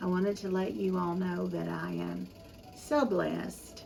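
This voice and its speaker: A woman talks fairly slowly, with noticeable background noise around her. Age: 70s. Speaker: home cooking YouTuber. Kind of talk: casual chat. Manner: halting.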